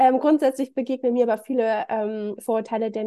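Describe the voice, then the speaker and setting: Against a quiet background, a woman with a fairly high pitch and dark, mellow tone talks at a fairly quick pace with fairly even intonation. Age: 30s. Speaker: spiritual practitioner, self-described witch. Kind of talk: interview.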